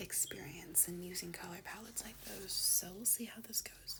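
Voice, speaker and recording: Whispering in a calm tone at a fairly slow pace, over noticeable background noise. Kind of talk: ASMR unboxing talk to camera. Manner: soft-spoken, calm.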